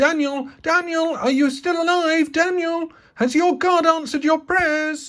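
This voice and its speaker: Someone uses a put-on character voice, squeaky and extremely high in pitch, at a moderate pace. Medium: read story.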